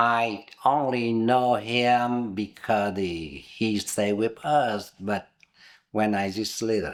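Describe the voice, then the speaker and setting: A man's medium-pitched voice at a very slow pace, with ordinary pitch variation, on a very clean recording with a silent background. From southern Vietnam, Binh Duong province near Saigon. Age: 70s. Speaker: interviewee, immigrant. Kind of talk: oral history interview.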